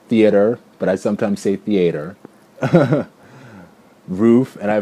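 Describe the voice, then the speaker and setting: With an American accent, a man speaks in a fairly low pitch and a dark, mellow tone. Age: 20s. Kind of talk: casual talk to camera. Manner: chatty, rambling.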